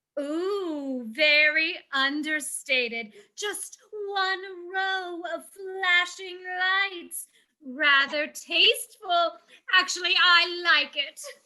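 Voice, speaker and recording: At an extremely high pitch, a put-on character voice drawls along at a very slow pace. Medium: stage play. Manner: gushing, breathy exclamations.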